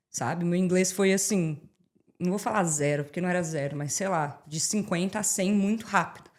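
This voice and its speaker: Her voice sits at a medium pitch, with ordinary pitch variation, as this woman speaks at a moderate pace. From Brazil, Brasília. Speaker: immigrant and social media creator. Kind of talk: podcast interview. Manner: animated.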